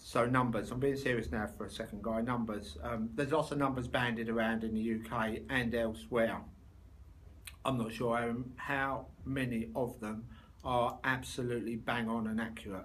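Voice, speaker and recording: A man with a London accent and medium pitch, at a moderate pace with ordinary pitch variation, in audible room echo. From London, England. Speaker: body shop owner and trade association chair. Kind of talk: video interview for a conference. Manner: animated, jokey conversational.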